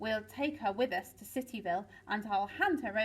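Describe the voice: Someone reads a text out loud. The reading is plain.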